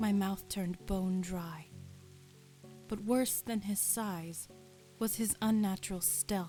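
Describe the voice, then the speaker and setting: Music plays behind a woman who speaks at a fairly slow pace in a medium pitch. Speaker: semi-professional voice actor. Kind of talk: ASMR audiobook reading. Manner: soft, relaxing.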